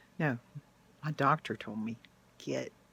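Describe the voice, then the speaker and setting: The voice has a bright, sharp tone, an animated delivery and vocal fry. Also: woman. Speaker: YouTuber sharing personal experience. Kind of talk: personal testimony monologue. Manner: emotional, animated.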